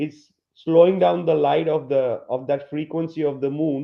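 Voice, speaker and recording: Speaking at a moderate pace, a man with a non-native accent uses a fairly high pitch and ordinary pitch variation. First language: not English. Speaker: flat earth presenter. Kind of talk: podcast presentation. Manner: halting.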